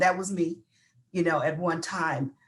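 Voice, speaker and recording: Somewhat breathy, a woman speaks at a fairly low pitch. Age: 60s. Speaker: panelist. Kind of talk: panel discussion.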